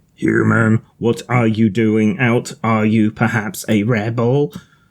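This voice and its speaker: Using a put-on, robotic character voice, a man speaks fairly slowly at medium pitch, with fairly even intonation and very even loudness. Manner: menacing.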